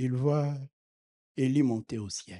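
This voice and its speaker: Recorded with a dry, close sound and no echo, a man talks at a very slow pace in a dark, mellow tone. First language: not French (speaking French). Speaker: preacher. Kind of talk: sermon. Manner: animated.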